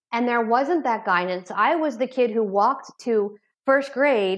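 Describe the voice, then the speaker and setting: Over a quiet background, a woman talks in a fairly high pitch. Hers is an ordinary speaking voice, with ordinary pitch variation. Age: 40s. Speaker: addiction therapist. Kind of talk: interview. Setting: remote call.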